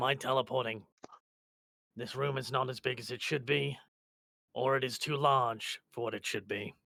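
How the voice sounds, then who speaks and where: A put-on character voice from a man, raspy and medium-pitched, in a flat monotone at a moderate pace with long, frequent pauses. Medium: actual play. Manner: terse, blunt.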